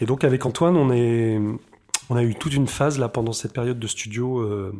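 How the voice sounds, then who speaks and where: A man's voice sits at a medium pitch with fairly even intonation. Noticeable background noise runs underneath. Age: 40s. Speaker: composer and radio host. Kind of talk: radio show presentation mixed with self-interview. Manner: hesitant, many fillers.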